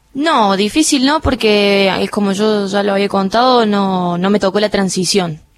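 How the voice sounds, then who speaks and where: A woman at a fairly slow pace with hardly any pauses and ordinary pitch variation, over noticeable background noise. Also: medium pitch for a woman. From Argentina, Córdoba city. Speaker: air force helicopter pilot. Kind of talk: radio interview. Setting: studio.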